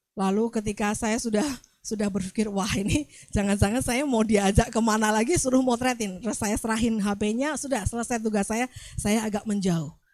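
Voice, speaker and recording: Her pitch is fairly high, with ordinary pitch variation. The woman talks at a fairly quick pace. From Central Java, Magelang. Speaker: pastor. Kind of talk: sermon.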